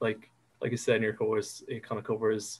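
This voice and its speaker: A man of medium pitch talks with an Irish accent. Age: 20s. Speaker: digital marketer. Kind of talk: interview answer. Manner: hesitant, unassuming.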